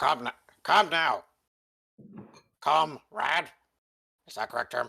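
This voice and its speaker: A raspy, put-on character voice from a man, fairly high in pitch, delivered at a fairly slow pace. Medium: actual play. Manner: clipped broken English, drops articles.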